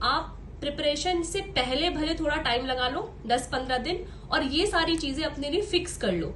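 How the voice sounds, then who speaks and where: Speaking with lively intonation at a fairly slow pace, a woman's high-pitched voice carries audible room echo. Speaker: exam topper giving study advice. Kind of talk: tutorial. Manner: casual, conversational.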